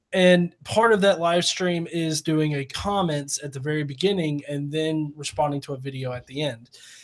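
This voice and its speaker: A man with a strong Southern US accent, a moderate pace, ordinary pitch variation, and hardly any pauses. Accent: deep Southern US. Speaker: atheist YouTuber. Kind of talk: casual chat. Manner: halting, many fillers.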